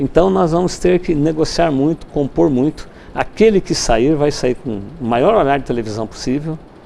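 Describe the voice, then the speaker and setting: With lively intonation and a moderate pace, this is a normal speaking voice. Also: man, fairly high pitch for a man. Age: 60s. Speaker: university rector and politician. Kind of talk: TV interview.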